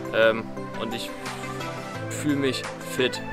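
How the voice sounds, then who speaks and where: A man at a moderate pace, the sound dry with no echo and clear music in the background. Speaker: amateur triathlete vlogger. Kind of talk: casual vlog chat. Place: forest.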